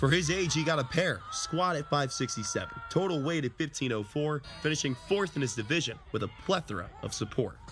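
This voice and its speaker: Over music in the background, the speech runs at a fairly quick pace with lively intonation and hardly any pauses. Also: man, fairly high pitch for a man. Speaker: sports anchor and reporter. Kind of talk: TV news package voiceover.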